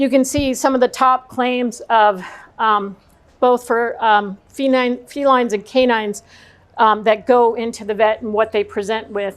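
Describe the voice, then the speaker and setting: At a moderate pace, an unremarkable speaking voice carries fairly even intonation. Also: woman. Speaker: speaker on pet nutrition. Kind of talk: talk to an audience. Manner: many fillers (um, uh).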